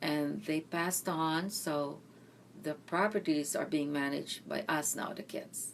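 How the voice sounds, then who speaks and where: This woman has a very deep, low pitch and speaks at a fairly slow pace with fairly even intonation. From Philippines, Mindanao. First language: Bisaya. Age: 60s. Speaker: interviewee, retired nurse. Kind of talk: oral history interview.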